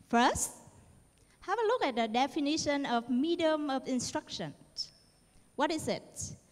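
A woman with a Vietnamese accent, high-pitched, with lively intonation, a moderate pace and long, frequent pauses. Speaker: university lecturer and researcher; university lecturer. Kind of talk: conference presentation. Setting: stage with audience. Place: hall. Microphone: handheld.

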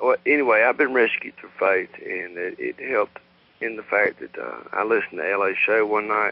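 With a Southern US accent, a man talks at a moderate pace. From US South. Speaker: caller. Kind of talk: call-in chat. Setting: phone call. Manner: halting, many fillers.

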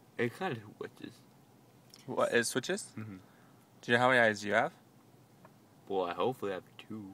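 A man mumbles at a fairly quick pace with lively intonation and big swings in loudness. His tone is bright and sharp, and the sound is dry with no echo. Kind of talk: casual groggy chat. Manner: sleepy, numb-mouthed mumbling. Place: car.

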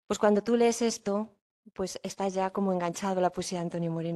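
Against a quiet background, a woman speaks in a dark, mellow tone with monotone, flat intonation. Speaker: event host. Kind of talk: introduction and poetry reading. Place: hall. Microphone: podium.

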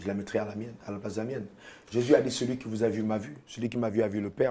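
Delivered at a very fast pace, the voice has a dark, mellow tone and fairly even intonation. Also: man. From Cameroon. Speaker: pastor. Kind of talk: TV interview. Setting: studio. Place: studio. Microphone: lapel.

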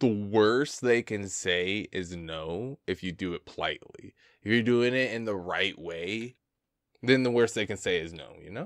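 Against a quiet background, a man with a fairly low voice speaks at a fairly slow pace, his loudness swinging widely and his pitch varying an ordinary amount, in a dry sound with no echo. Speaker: reaction streamer. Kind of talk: commentary. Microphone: studio mic.

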